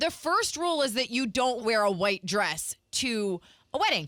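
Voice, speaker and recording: In a dry, close sound with no echo, a woman speaks at a moderate pace with a raised, projected voice. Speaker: radio host, co-host of a morning show. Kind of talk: radio morning show banter. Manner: animated, exasperated, bantering.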